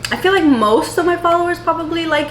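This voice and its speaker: Noticeable background noise sits behind a woman speaking with an American accent. Her tone is animated. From New York City. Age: 20s. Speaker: lifestyle vlogger. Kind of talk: casual vlog talk. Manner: fast.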